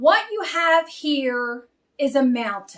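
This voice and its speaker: Doing a put-on character voice, a woman sounds gruff in a high pitch, with very wide pitch swings and a very slow pace. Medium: read story.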